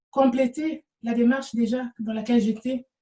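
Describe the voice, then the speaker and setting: With a non-native accent, a woman speaks in a monotone, flat intonation, her fairly high voice dark and mellow in tone. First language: not French (speaking French). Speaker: spiritual energy healer, vlogger. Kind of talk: talking-head video answering questions. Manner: halting, frequent hesitations and repetitions.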